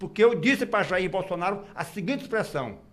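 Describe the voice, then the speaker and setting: A man speaks very fast in a high pitch, his pitch variation ordinary. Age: 70s. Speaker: gubernatorial candidate. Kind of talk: radio interview.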